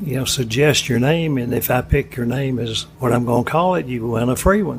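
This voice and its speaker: A man with an Alabama accent speaks at a fairly quick pace in a medium pitch. His pitch varies in an ordinary way, and there is noticeable background noise. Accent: Southern US (Alabama). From US South, Florence, Alabama. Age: 80s+. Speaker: ice cream shop owner. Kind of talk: casual interview.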